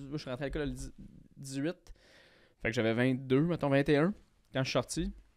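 A man speaks with a Quebec accent and a fairly high pitch. His pace is moderate and the background quiet. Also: ordinary pitch variation. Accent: Québécois French. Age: 20s. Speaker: comedian. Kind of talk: casual chat. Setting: studio. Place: studio. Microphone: studio mic.

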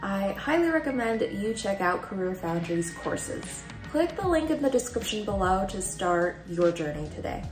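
Moderate pace and hardly any pauses, with clear music in the background. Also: woman. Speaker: vlogger reading a sponsor message. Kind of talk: sponsor read. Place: home room.

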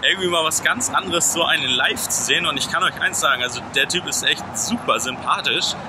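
Noticeable background noise is present. A man speaks through it. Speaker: vlogger. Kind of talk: casual vlog chat. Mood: cheerful, relaxed. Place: street. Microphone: phone near.

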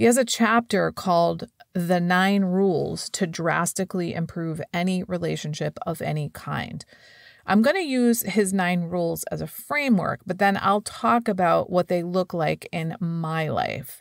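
A woman with a normal speaking voice talks at a fairly slow pace in a fairly low pitch with ordinary pitch variation, the sound dry and close with no echo on a very clean recording with a silent background. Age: 50s. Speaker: podcast host and life coach. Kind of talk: solo podcast monologue.

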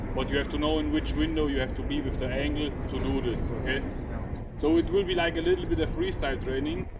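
Loud background noise competes with a man who speaks very fast. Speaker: crane trainer briefing operators. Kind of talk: technical briefing to workers. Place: open country. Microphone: camera far.

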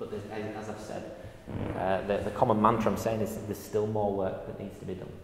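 In a Yorkshire accent, a man speaks at a fairly quick pace with a fairly low pitch and monotone, flat intonation, his loudness swinging widely, with audible room echo and noticeable background noise. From northern England. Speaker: university lecturer. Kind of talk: public lecture. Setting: stage with audience. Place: hall. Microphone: lapel.

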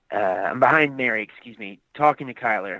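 With a plain, everyday voice, a man with an American accent speaks at a fairly slow pace with ordinary pitch variation, the sound dry and close with no echo. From US South, Aiken, South Carolina. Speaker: actor and skateboard business owner. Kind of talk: casual interview chat. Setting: in a car, driving.

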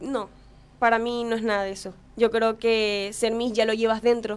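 Fairly quick and flat in a monotone, a woman speaks with a fairly high pitch. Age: young. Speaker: beauty pageant contestant; guest. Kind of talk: casual interview. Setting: studio. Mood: confident, motivational. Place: studio. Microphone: studio mic.

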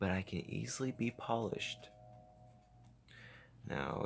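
A man speaks quietly at a fairly slow pace. His pitch swings very widely. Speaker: gaming YouTuber. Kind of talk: gameplay commentary. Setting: home recording at night with face cam.

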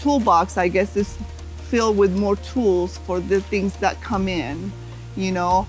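The speech moves at a fairly slow pace. Faint music sits in the background. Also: woman, dry sound with no echo. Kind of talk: interview answer. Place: hall. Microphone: lapel.

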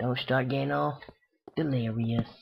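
A somewhat breathy male voice of medium pitch at a moderate pace. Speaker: gaming video creator. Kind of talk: gameplay commentary. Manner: halting, many fillers.

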